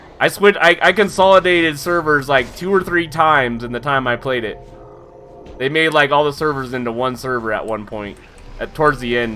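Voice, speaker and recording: Noticeable background noise sits behind a man with a fairly high pitch. His intonation is lively and his pace fairly quick. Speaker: game streamer. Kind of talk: casual gameplay livestream chat.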